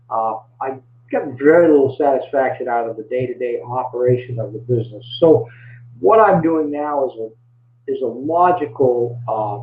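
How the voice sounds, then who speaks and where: Big swings in loudness mark the speech of a man with a Maine accent. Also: medium pitch for a man, ordinary pitch variation, moderate pace. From Maine, US. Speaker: small business coach. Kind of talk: webinar presentation. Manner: halting, many fillers and repeats.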